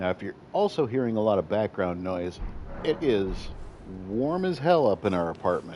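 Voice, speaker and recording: A man speaks at a moderate pace with lively intonation. His tone is dark and mellow. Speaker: gaming streamer. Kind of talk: live gameplay commentary. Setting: home apartment, streaming late at night. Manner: quieter than usual.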